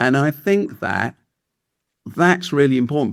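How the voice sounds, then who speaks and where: This is a man speaking with an English accent. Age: 70s. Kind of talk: podcast interview. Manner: halting, with frequent fillers and restarts.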